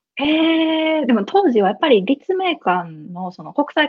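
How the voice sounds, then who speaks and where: A woman speaks with a Kansai accent. Her pitch swings very widely. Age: 20s. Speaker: business lead at a startup. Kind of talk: casual interview. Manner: laughs often.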